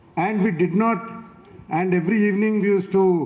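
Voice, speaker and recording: A man talks at a moderate pace, and the room's echo can be heard around his voice. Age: 60s. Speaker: chief guest speaker. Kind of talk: speech at school event.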